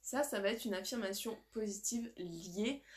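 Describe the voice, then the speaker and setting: In an animated tone, a woman talks at a fairly high pitch with ordinary pitch variation. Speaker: life coach. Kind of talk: live stream workshop. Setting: live video stream.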